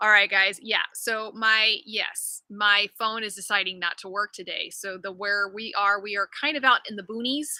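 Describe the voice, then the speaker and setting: Speaking at a moderate pace with hardly any pauses, a woman uses a medium pitch and an animated, bright, sharp tone with big swings in loudness, recorded dry and close with no echo. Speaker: physical therapist and livestream host. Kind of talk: casual livestream chat. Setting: live video stream from family home. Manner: projecting loudly. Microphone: no microphone, laptop audio, fickle Wi-Fi.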